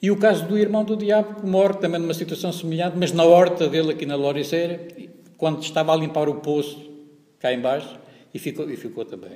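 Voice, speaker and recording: The speaker is a man with a high pitch and ordinary pitch variation. He talks at a fairly quick pace. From Portugal, Pernes (Santarém, Ribatejo). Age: 60s. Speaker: hospitality equipment technician, local activist. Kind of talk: interview testimony. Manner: halting, many repetitions and fillers.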